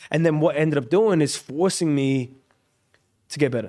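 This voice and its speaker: Here a man speaks with an Australian accent. His pitch is fairly high. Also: very clean recording, silent background. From Australia, Brisbane. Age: 20s. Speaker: singer-songwriter. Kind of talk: casual chat.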